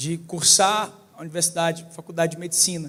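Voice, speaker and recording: This man talks in a Ceará accent at a moderate pace. His voice sits high in pitch. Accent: Ceará accent, noticeable. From Brazil, Ceará. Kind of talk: church talk. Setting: church with audience.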